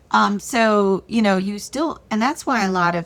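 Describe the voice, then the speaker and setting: A woman with a plain, everyday voice speaks at a fairly slow pace with lively intonation, in a very clean recording with a silent background. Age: 60s. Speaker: beauty brand founder. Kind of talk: interview.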